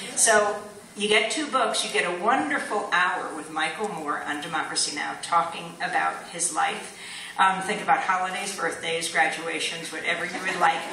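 In a room with audible echo and light background noise, a woman with a fairly low voice talks at a moderate pace with ordinary pitch variation. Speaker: guest. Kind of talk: public speech. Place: stage. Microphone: podium.

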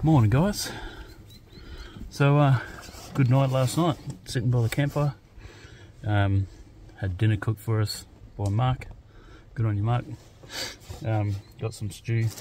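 A man speaks at a fairly slow pace with long, frequent pauses, his dark, mellow tone somewhat breathy and his pitch variation ordinary, in a dry sound with no echo over light background noise. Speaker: camping vlogger. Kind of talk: casual vlog chat. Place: open country. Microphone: phone near.

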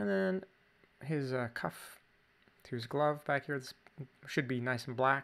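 A man speaks at a medium pitch with ordinary pitch variation. He leaves long, frequent pauses. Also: fairly slow pace. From Canada. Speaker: drawing teacher. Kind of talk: tutorial. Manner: casual. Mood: relaxed, playful.

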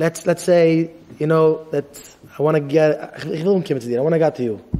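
A man's fairly high-pitched voice at a very slow pace. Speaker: rabbi teaching yeshiva students. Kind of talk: lecture. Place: hall. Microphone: podium.

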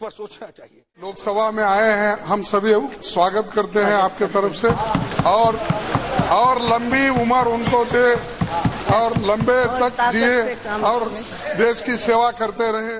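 Pausing long and often, a man talks very slowly as noticeable background noise runs underneath. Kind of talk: parliamentary speech. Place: hall. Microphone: podium.

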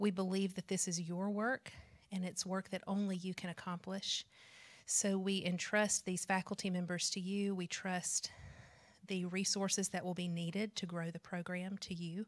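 A woman speaks in a monotone with flat intonation at a moderate pace. The background is quiet. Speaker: missions program leader. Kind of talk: prayer. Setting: stage with audience. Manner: formal. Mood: calm, earnest. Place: classroom. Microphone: handheld.

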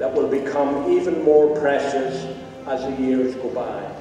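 Faint music plays behind a man speaking at a fairly slow pace, with strong room echo. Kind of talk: formal closing address. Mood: warm, formal. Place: hall. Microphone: podium.

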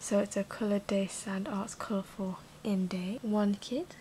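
A soft-spoken woman talks at a moderate pace with light background noise. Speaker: ASMR unboxing host. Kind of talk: ASMR product unboxing narration. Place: home room. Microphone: phone near.

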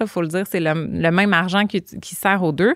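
Against a quiet background, a woman with a medium pitch talks at a fairly quick pace with ordinary pitch variation in a dry sound with no echo. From Quebec, Montreal suburbs; Quebec. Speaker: transit advocacy organization director; podcast guest. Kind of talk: podcast interview. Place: studio. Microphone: studio mic.

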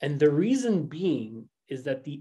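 Against a quiet background, a man is talking. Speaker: real estate brokerage co-host. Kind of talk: panel discussion. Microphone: webcam.

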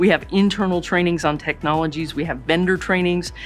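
A woman talks at a fairly quick pace in a fairly low voice, with faint music playing behind her. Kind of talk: interview answer. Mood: warm, positive. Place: office.

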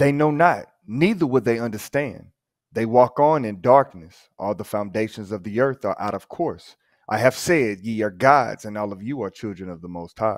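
Someone with an American accent speaks at a moderate pace with lively intonation. The recording is very clean, with a silent background. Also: man, medium pitch for a man, big swings in loudness. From Texas, Houston. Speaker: scripture reader. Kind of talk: reading aloud.

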